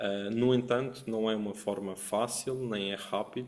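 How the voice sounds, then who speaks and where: With a Madeiran accent, a man speaks at a moderate pace in a fairly low, monotone voice with flat intonation. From Madeira, Portugal. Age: 30s. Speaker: trading educator, academy founder. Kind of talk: webinar presentation.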